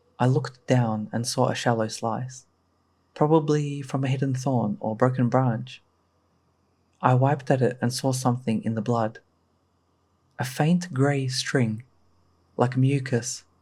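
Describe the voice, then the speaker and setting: At medium pitch and a fairly slow pace, a man speaks with a dark, mellow tone, somewhat breathy, with fairly even intonation and long, frequent pauses in a very clean recording with a silent background. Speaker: horror story narrator. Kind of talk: horror story narration.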